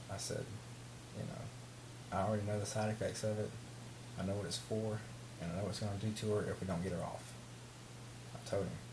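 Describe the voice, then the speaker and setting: A man with a Southern US accent talks at a fairly quick pace in a fairly low pitch with ordinary pitch variation, with audible room echo and noticeable background noise. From US South. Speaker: vlogger. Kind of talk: personal vlog rant. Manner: halting.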